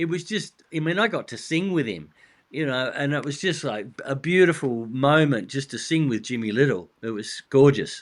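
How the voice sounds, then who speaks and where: Over a quiet background, a man with an Australian accent speaks at a fairly high pitch and moderate pace with lively intonation. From Australia, Adelaide. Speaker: rock drummer and author. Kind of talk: interview.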